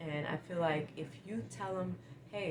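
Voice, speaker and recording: A woman's fairly low-pitched voice with audible room echo and noticeable background noise. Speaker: lifestyle vlogger. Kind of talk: advice monologue. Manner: sometimes stumbling over words.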